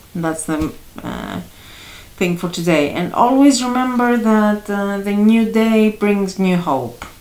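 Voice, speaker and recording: Over noticeable background noise, a woman with a medium-pitched voice speaks very slowly with lively intonation. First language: Greek. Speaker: astrology and tarot youtuber. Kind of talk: tarot reading monologue. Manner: halting, many fillers.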